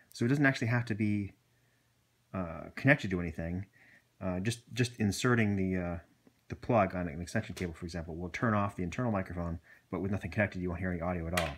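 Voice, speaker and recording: On a very clean recording with a silent background, a soft-spoken man with a very deep, low pitch talks at a very fast pace with ordinary pitch variation. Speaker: video blogger reviewing gear. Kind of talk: tutorial. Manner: halting, many fillers.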